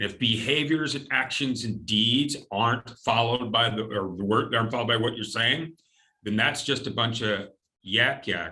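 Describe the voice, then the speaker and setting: A man's bright, sharp voice at medium pitch. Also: ordinary pitch variation, moderate pace. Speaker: company president, former military. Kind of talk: interview. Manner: energetic, big presence.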